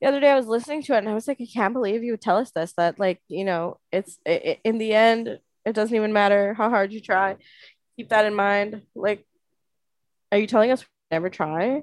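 A plain, everyday voice at a fairly quick pace, ordinary pitch variation, and a dry, close sound with no echo. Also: woman, fairly high pitch for a woman. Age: 20s. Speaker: podcast co-host. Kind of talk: casual chat.

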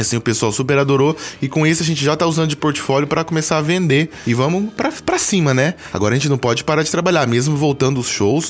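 This man speaks at a very fast pace with a fairly high pitch and ordinary pitch variation. His loudness stays very even over noticeable background noise. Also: hardly any pauses. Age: 30s. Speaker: musician and graphic designer. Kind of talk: casual interview. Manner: animated.

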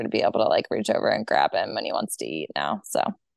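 A woman talks. Her pace is very fast. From Delaware. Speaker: mother sharing birth story. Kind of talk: testimony.

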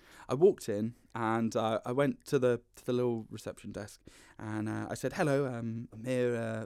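A very clean recording with a silent background of a man at a medium pitch, his intonation fairly even. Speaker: actor and comedian. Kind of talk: casual chat. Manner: loud.

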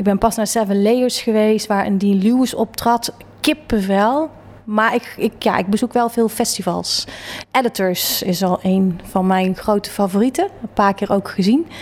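A normal speaking voice moves at a fairly slow pace. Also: woman, fairly high pitch for a woman, ordinary pitch variation. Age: 40s. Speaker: interior designer. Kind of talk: interview. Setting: her office.

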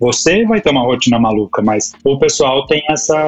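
With music in the background, a man talks at medium pitch and with ordinary pitch variation. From Brazil, São Paulo. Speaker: marketing professional, immigrant in Canada. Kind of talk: casual chat.

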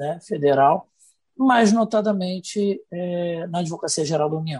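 A dark, mellow tone at a moderate pace with ordinary pitch variation. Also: man. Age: 40s. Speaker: interviewer, federal attorney. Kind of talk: interview.

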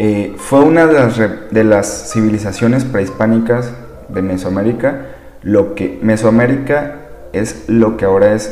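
A man's voice is heard with audible room echo and noticeable background noise around it. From Sinaloa, Mexico. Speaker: podcast host. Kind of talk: reading aloud. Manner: casual, filler-heavy.

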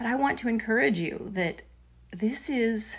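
This woman talks at a fairly slow pace, her pitch varying in an ordinary way. There is a somewhat breathy quality to her voice. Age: 40s. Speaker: podcast host.

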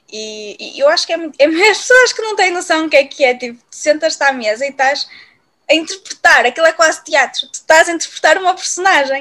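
Her voice is raised and projected, with a bright, sharp tone at an extremely high pitch. The woman talks at a fairly quick pace with lively intonation. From Portugal, Viana do Castelo. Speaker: podcast co-host. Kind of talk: casual chat. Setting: at home with cats.

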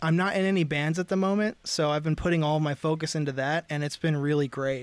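A man with an American accent, fairly high in pitch, with fairly even intonation and a dry, close sound free of echo. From US Mid-Atlantic (northern Delaware). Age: 30s. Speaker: drummer and podcaster. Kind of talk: casual chat. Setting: outdoors on a porch.

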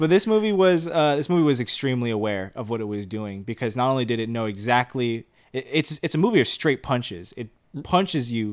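This man has an unremarkable speaking voice at medium pitch, with an American accent and lively intonation. He goes at a fairly quick pace on a very clean recording with a silent background. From Los Angeles, US. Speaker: film review podcast co-host. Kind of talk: casual chat.

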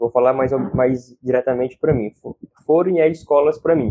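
In a dry, close recording with no echo, a man with a dark, mellow tone speaks at a moderate pace. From Fortaleza, Ceará, Brazil. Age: 20s. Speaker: social educator and environmental activist. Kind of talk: casual interview chat.

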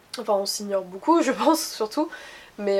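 This is a woman speaking at a medium pitch. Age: 20s. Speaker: interviewee. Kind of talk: casual interview.

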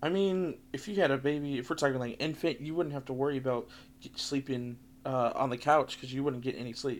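An ordinary speaking voice from a man with an American accent, fairly high in pitch with ordinary pitch variation, at a fairly quick pace in a very clean recording over a silent background. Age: 20s. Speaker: podcast co-host. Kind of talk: casual chat.

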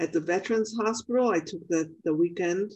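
A woman's normal speaking voice, medium in pitch and moderate in pace. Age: 60s. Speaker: spiritual teacher and podcast host. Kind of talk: casual interview chat.

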